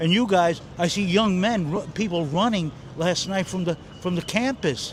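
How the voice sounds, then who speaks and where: Over noticeable background noise, a man with a New York accent speaks at a moderate pace with lively intonation. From New York City. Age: 60s. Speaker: retired aircraft mechanic and Air Force veteran. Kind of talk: street interview. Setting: outdoors. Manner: halting.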